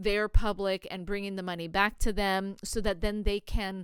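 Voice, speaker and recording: Here a woman speaks at a fairly slow pace with a medium pitch. The recording is very clean, with a silent background. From US Pacific Northwest, Oregon. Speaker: podcast host. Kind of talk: podcast monologue.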